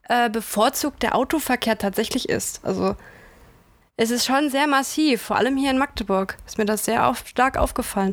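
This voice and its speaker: A woman with a fairly high pitch and ordinary pitch variation talks fairly slowly. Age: 20s. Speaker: student. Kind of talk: casual chat.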